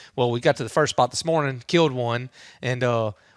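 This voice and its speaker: A man with a Louisiana accent speaks at a medium pitch in an animated tone with ordinary pitch variation. The recording is very clean, with a silent background and a dry, close sound with no echo. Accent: Louisiana Southern US. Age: 30s. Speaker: hunter and father. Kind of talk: podcast interview. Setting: outdoor entertainment area. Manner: casual, animated.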